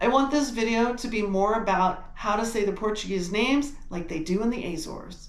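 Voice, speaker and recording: A woman speaks with an American accent in a fairly high pitch with ordinary pitch variation. Noticeable background noise is present. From United States. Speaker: travel and genealogy channel host. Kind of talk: video presentation and interview. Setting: video call.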